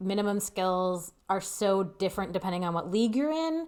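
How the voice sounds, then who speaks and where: A woman of medium pitch mumbles in a very clean recording with a silent background. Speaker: roller derby skater and show co-host. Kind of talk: casual chat. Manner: mumbling.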